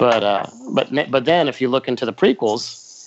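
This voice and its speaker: Using a normal speaking voice, a man talks at medium pitch with ordinary pitch variation. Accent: American. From Florida, US. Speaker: video production manager. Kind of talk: casual chat.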